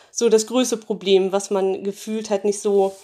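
Her voice is medium in pitch and dark and mellow in tone as this woman speaks at a moderate pace with fairly even intonation. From northern Germany. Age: 30s. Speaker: dental phobia patient. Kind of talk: testimony.

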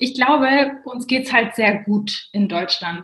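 A woman talks in a plain, everyday voice at a moderate pace with fairly even intonation. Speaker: management consultant and finance blogger. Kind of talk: casual interview.

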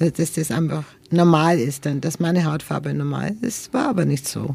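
A woman speaks at a moderate pace with a very deep, low pitch and a dark, mellow tone. Her intonation is lively, and vocal fry runs through her voice. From Nuremberg, Franconia, Germany. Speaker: interviewee sharing life story. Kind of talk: interview. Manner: halting.

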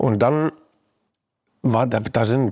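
A man with medium pitch talks in an unremarkable speaking voice, with ordinary pitch variation. The recording is very clean, with a silent background. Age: 30s. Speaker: music producer. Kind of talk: casual chat. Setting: songwriting camp.

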